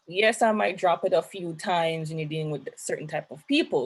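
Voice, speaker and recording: A woman speaks with a Jamaican accent at a fairly low pitch, somewhat breathy. Her moderate-paced delivery sits on a very clean recording with a silent background. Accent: Jamaican, kept. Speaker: young professional panelist. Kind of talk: panel discussion.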